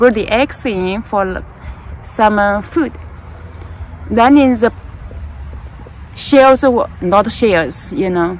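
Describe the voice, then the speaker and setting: Amid noticeable background noise, a woman with a Chinese accent speaks very slowly at a fairly high pitch, her lively intonation broken by long, frequent pauses. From China, rural Jiangsu village. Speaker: gardening vlogger. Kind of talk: casual storytelling while gardening. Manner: halting, with fillers.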